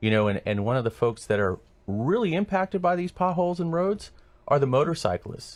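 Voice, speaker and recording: With music in the background, a man with an American accent speaks at a high pitch and a fairly quick pace, with very wide pitch swings. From Sacramento area, California. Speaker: political candidate. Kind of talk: radio interview. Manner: halting.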